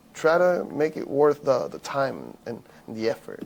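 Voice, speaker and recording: In a Spanish accent, a man speaks at a very slow pace. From Venezuela. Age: 20s. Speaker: former college baseball player. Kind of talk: podcast interview. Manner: halting, repeats words.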